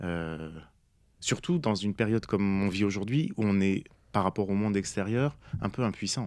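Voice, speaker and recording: In a dry sound with no echo, a man talks at a moderate pace with a fairly low pitch, ordinary pitch variation and long, frequent pauses. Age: 40s. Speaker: poet and author; guest. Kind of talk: interview. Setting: studio. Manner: halting, many hesitations. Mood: calm, reflective. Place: studio. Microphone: studio mic.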